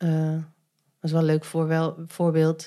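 A woman's dark, mellow tone at a fairly low pitch, on a very clean recording with a silent background. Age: 30s. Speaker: adoptee and meetup organizer. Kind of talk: casual interview. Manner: hesitant, many fillers.

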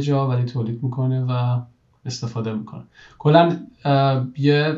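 A man's somewhat breathy, dark and mellow voice at medium pitch, monotone and flat in intonation, at a moderate pace. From Iran. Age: 30s. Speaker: engineering manager. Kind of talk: interview conversation.

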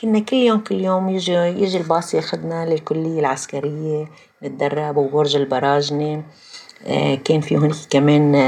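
Her very deep, low pitch shows ordinary variation as this woman keeps a very even loudness throughout. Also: fairly slow pace. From Lebanon, Palestinian refugee community from Jaffa. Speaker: former administrator and writer. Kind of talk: personal testimony in interview.

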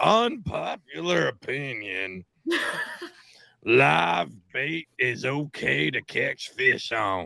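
This is a put-on character voice, raspy in texture. It moves at a very slow pace. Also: man, medium pitch for a man.

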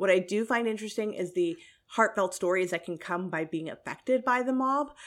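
Here is a normal speaking voice, with ordinary pitch variation at a moderate pace. Behind it the background is silent, on a very clean recording. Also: woman. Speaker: podcast co-host. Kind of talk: casual chat.

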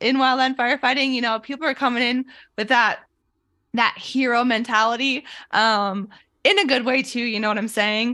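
Recorded very cleanly against a silent background, a woman with an American accent talks at a fairly quick pace in a high pitch, her tone bright and sharp and her pitch varying in an ordinary way. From Idaho. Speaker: former wildland firefighter and military member. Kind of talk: casual interview.

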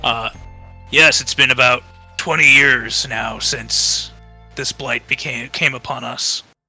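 Using a put-on character voice, a man with a raspy, medium-pitched sound talks fairly slowly while faint music plays in the background. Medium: actual play. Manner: wary, solemn.

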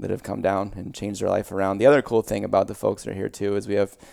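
A man is speaking. He talks with a Midwestern US accent. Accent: US Midwest. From Iowa, Des Moines area (moved from Pittsburgh area as a child). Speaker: gym owner and former baseball player. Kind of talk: casual interview. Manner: hesitant fillers.

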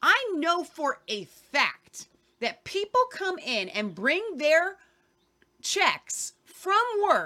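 A woman with an American accent speaks very slowly in a raised, projected voice that is extremely high, bright and sharp, with very wide pitch swings. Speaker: podcast host.

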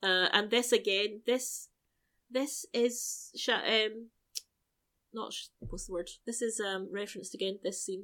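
A woman with a British accent speaks at a fairly slow pace, with a bright, sharp tone and a fairly high pitch. Her loudness swings widely, her pitch varies in an ordinary way, and the recording is very clean with a silent background. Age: 40s. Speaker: podcast co-host. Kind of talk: casual chat.

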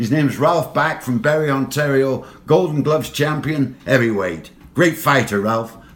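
A man with a Lancashire accent talks at a moderate pace, his pitch fairly high with ordinary variation. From northern England. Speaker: former boxer and hockey coach. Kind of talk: casual interview storytelling.

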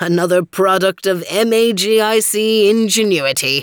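A put-on character voice at a middle pitch comes through in a very clean recording with a silent background. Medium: read story. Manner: cheerful, grandfatherly lecturing.

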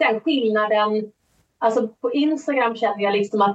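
The pace is fairly slow, with ordinary pitch variation. It is an unremarkable speaking voice. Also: woman. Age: 40s. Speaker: author and audiobook narrator. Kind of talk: interview.

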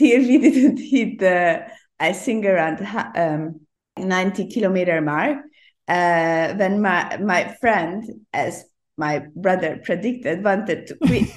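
A woman with a Hungarian accent speaks at a very slow pace and medium pitch, her intonation lively, over a quiet background. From Hungary, Budapest. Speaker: ultrarunner. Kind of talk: interview.

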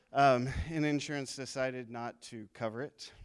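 Flat and monotone, the man speaks at a medium pitch. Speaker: church member sharing testimony. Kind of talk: testimony. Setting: church with congregation.

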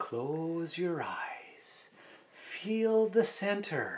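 This is a put-on character voice. The pitch sits fairly high. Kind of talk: soft guided-meditation delivery. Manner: slow, calming.

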